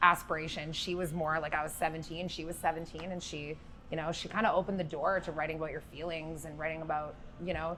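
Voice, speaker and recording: This woman talks very fast in a fairly low, bright and sharp voice with monotone, flat intonation. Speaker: singer-songwriter. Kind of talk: interview. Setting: music festival venue.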